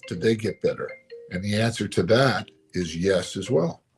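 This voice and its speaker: The voice is somewhat breathy, moving at a moderate pace. It is recorded very cleanly over a silent background. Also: man. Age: 60s. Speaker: pastor. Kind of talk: motivational talk. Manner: reflective, conversational.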